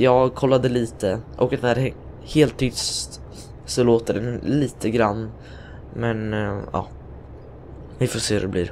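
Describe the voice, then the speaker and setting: Very slow male speech at a medium pitch, fairly even in intonation, with long, frequent pauses. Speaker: gaming youtuber. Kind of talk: gameplay commentary. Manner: hesitant.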